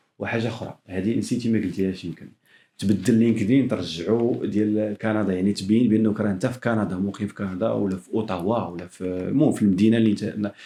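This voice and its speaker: Against a quiet background, a man talks at a fairly quick pace with hardly any pauses, his fairly low voice dark and mellow, his intonation fairly even. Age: young. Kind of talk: casual podcast conversation.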